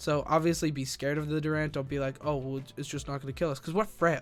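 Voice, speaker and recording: Here a man speaks at a fairly high pitch. His pitch variation is ordinary. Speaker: gaming video creator. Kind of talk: tutorial. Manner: fast; casual, many fillers.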